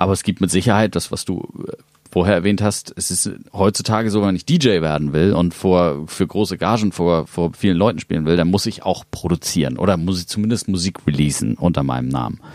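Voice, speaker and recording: With vocal fry and a very deep, low pitch, a man speaks at a fairly quick pace, his pitch varying in an ordinary way. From Hamburg, northern Germany. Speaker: electronic music producer and label owner. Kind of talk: casual interview. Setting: studio.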